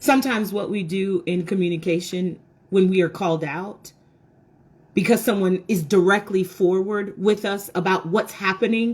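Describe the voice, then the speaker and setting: A woman speaks in an animated tone at a moderate pace. Her pitch varies in an ordinary way. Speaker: women's talk show host. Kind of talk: motivational talk to viewers. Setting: indoors by window, video recording. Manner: loud.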